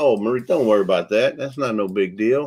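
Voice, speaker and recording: A man with a Texan accent at a moderate pace. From Texas. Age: 60s. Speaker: livestream co-host. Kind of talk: casual chat. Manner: relaxed, chatty.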